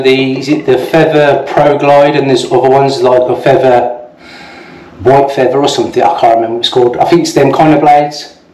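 Room echo can be heard around the words. The voice belongs to a man. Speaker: shaving video creator. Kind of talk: casual product review and demo. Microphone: phone near.

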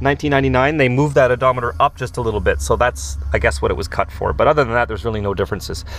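The speech moves at a very fast pace. The sound is dry, with no echo. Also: man. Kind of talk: casual vlog tour. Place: car. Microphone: phone near.

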